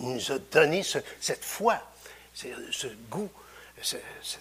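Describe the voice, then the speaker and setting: A man speaks with lively intonation. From Quebec (Victoriaville). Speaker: preacher. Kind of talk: sermon. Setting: church. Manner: halting.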